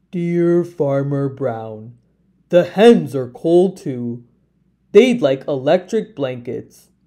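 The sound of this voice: A woman performs a put-on character voice with an extremely low pitch and a dark, mellow tone. She speaks slowly with lively intonation.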